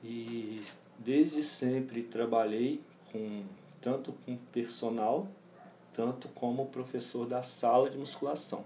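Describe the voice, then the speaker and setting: With audible room echo around him, a man speaks at a very slow pace with fairly even intonation. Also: medium pitch for a man. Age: 30s. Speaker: personal trainer and gym owner. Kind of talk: interview. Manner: halting, many fillers.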